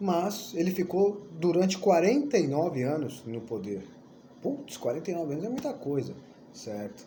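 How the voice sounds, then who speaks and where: Animated in tone, a man with a high pitch and very wide pitch swings speaks at a moderate pace amid audible room echo. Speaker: history teacher. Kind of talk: lecture. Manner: animated, casual.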